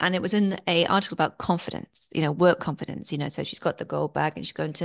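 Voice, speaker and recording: Talking at a very fast pace, a woman with a fairly low pitch, vocal fry and an English accent speaks. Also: quiet background. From England, Worcestershire. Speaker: film festival consultant and author. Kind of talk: interview.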